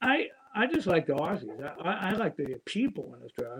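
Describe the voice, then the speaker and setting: This man has an American accent and a fairly quick pace. His pitch swings very widely. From Pennsylvania, US. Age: 70s. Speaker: fitness and jiu-jitsu instructor. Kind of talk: interview.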